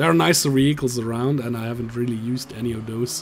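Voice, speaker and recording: Medium pitch from a man, set against noticeable background noise. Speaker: gaming YouTuber. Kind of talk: let's play commentary.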